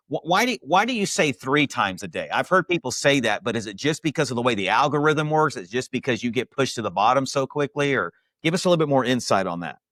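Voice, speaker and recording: Loud and very fast, a man speaks in an energetic, passionate tone with very wide pitch swings, recorded dry and close with no echo on a very clean recording with a silent background. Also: fairly high pitch for a man, hardly any pauses. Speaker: podcast host interviewing insurance agents. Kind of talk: interview podcast. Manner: loud and fast.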